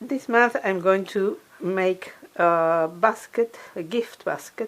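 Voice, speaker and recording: Her intonation is lively as a woman speaks with a non-native accent. Her pitch is medium. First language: not English. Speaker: crafter and DIY video maker. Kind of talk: tutorial. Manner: halting.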